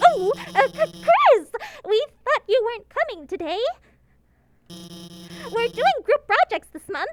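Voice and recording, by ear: A put-on character voice from a woman, extremely high-pitched, fairly slow, with big swings in loudness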